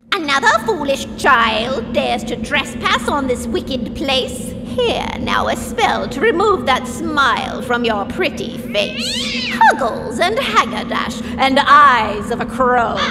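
A female-sounding put-on character voice, high in pitch and fairly slow, over loud background noise. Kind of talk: Halloween prop voice lines. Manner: menacing.

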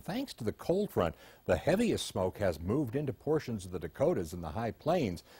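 A man's somewhat breathy, dark, mellow voice at a fairly quick pace. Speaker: weather forecaster. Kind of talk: newsreading, weather forecast. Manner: brisk, polished, professional broadcast delivery.

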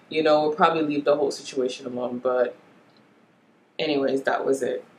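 A woman with a Jamaican accent talks at a fairly quick pace in a very deep, low voice with monotone, flat intonation. Audible room echo and light background noise surround her. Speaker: beauty vlogger. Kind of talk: casual talk to camera. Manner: chatty. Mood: opinionated, mildly exasperated. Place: home room. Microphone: camera far.

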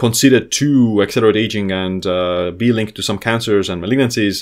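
A man speaks at a moderate pace with an Estonian accent. His pitch is fairly low and his intonation fairly even. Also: quiet background. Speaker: health author and biohacker YouTuber; biohacker YouTuber. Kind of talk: educational video lecture. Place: home room.

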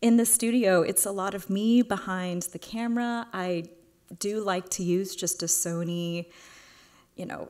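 A woman talks at a fairly slow pace with fairly even intonation. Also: quiet background. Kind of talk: lecture. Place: hall. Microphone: podium.

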